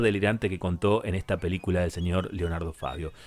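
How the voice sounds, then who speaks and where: In an Argentine accent, a man speaks at a fairly quick pace with an animated tone. The recording is very clean, with a silent background. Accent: Argentine Spanish (rioplatense voseo). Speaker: radio host. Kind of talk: radio music show presenting.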